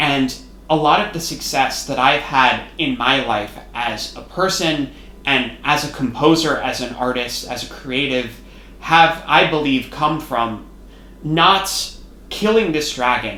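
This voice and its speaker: Speaking at a fairly slow pace, a man uses a fairly high pitch with ordinary pitch variation. Audible room echo and noticeable background noise are present. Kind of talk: personal educational monologue. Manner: loud at times.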